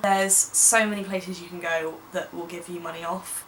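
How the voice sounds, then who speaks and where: Over noticeable background noise, a woman with a British accent speaks at a medium pitch. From England. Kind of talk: casual talk to camera. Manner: chatty, upbeat.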